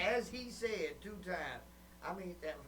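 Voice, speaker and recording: Amid noticeable background noise and audible room echo, a man speaks in an animated tone. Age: 50s. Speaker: webcast host and comedian. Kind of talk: casual chat.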